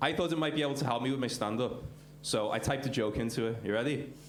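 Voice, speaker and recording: The speaker talks at a fairly quick pace in a Liverpool accent, with ordinary pitch variation. There is noticeable background noise and audible room echo. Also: man. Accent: Scouse. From Liverpool, England. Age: 30s. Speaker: stand-up comedian. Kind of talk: stand-up. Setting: stage with audience. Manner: hesitant, many fillers.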